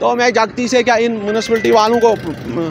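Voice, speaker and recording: A moderate pace amid noticeable background noise. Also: man. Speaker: interviewee, alleged assault victim. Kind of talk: interview testimony. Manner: animated, repetitive.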